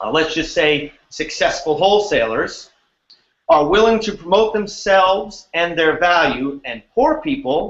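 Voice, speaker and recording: A man with a New York accent, high pitch, lively intonation and a fairly slow pace. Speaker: wholesale real estate investor, co-host. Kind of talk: casual online training talk. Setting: online video call.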